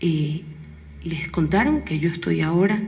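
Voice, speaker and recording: Noticeable background noise and audible room echo around a woman's fairly slow speech. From coastal Ecuador, Guayaquil. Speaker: educational television director, panelist. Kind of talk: conference panel talk.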